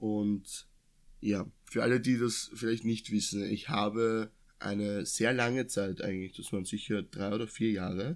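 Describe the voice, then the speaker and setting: A man's fairly low voice at a fairly slow pace, fairly even in intonation, on a very clean recording with a silent background. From Austria, near Vienna. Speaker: podcast co-host. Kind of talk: casual chat. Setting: sitting side by side in one room.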